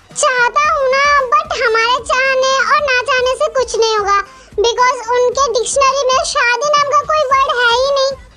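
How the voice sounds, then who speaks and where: A woman performs in a put-on character voice. Music plays in the background. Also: moderate pace, very even loudness. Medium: audio drama. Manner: dry, teasing.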